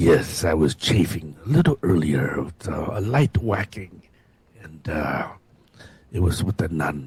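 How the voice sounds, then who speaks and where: A man's put-on character voice, very deep and low, at a fairly slow pace. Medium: actual play. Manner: hesitant, filler-laden.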